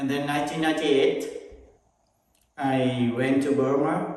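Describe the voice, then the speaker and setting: In a room with audible echo, a man with a fairly high voice speaks with fairly even intonation. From Vietnam. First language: Vietnamese. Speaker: Buddhist monk and meditation teacher. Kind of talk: casual conversation about his life and meditation. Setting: meditation center.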